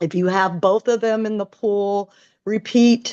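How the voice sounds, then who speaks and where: A woman at a medium pitch with ordinary pitch variation speaks in a normal speaking voice. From northern California. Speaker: artistic swimming coach. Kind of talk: webinar presentation.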